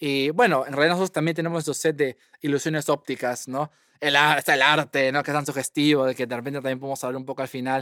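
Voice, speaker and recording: Very fast, monotone, flat delivery, dry and close with no echo, in a very clean recording against a silent background. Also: man. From Peru. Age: 30s. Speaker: computational neuroscientist. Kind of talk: interview.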